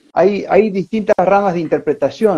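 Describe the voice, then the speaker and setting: The man has a dark, mellow tone and talks at a moderate pace. His sound is dry and close, with no echo. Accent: Argentine. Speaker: podcast host. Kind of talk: casual interview conversation.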